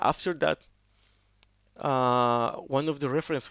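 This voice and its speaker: A man with a non-native accent at a fairly slow pace, quiet background behind him. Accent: non-native English speaker. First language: Spanish. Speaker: software developer. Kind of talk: tutorial. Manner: halting, with frequent fillers.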